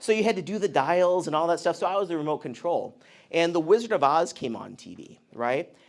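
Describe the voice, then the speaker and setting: In a very clean recording with a silent background, a man with an American accent talks in a high, animated voice with lively intonation at a fairly quick pace. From US Midwest, Indiana. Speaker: interventional cardiologist. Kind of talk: talk to an audience. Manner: casual, animated.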